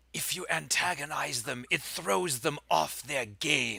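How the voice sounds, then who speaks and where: This is a put-on character voice with very wide pitch swings. The delivery comes at a fairly slow pace. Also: man, medium pitch for a man. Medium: actual play. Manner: grandiose, condescending.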